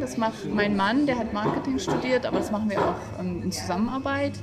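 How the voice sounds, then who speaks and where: Music plays in the background as a woman speaks amid audible room echo. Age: 30s. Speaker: café owner. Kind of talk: interview.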